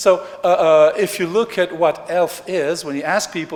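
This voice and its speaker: With noticeable background noise behind him, a man talks in a high pitch and lively intonation. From Switzerland, Geneva (French-speaking). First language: French. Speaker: economist, conference speaker. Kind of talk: plenary lecture. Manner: animated.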